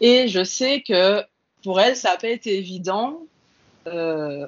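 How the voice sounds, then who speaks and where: Using a plain, everyday voice, a woman speaks at a medium pitch with lively intonation. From French Antilles. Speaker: PhD student in biomedical research, engineer. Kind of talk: interview.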